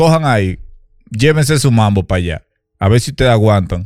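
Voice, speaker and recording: A man at a moderate pace with very wide pitch swings, in a very clean recording over a silent background. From Dominican Republic, Santo Domingo. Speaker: podcast co-host. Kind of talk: casual chat.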